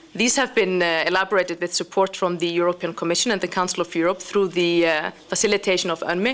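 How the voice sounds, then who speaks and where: Speaking at a very fast pace, a woman keeps her loudness very even. Noticeable background noise runs behind her. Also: medium pitch for a woman, ordinary pitch variation. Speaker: international organization representative. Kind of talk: conference speech.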